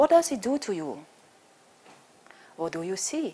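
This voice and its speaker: Her pitch swings very widely as the woman speaks. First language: Dutch (Flemish). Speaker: choreographer and dancer. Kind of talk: conference talk.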